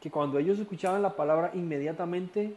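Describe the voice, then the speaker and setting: A man speaks in a high voice with a dark, mellow tone. His pitch rises and falls an ordinary amount. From Costa Rica. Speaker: Bible study teacher. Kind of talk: lecture.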